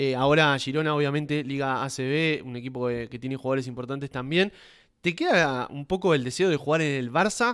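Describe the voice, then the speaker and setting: A man talks with a normal speaking voice, fairly high in pitch and with ordinary pitch variation. His pace is fairly quick over a quiet background. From Argentina. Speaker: sports podcast host. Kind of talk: interview. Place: home room. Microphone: studio mic.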